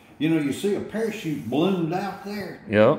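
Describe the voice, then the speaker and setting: Audible room echo surrounds a man speaking with a high pitch. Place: workshop. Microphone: phone near.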